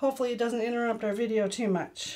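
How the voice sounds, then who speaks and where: A woman is speaking at a moderate pace. Her pitch is high. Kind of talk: tutorial. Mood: warm, grateful. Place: home room. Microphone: camera far.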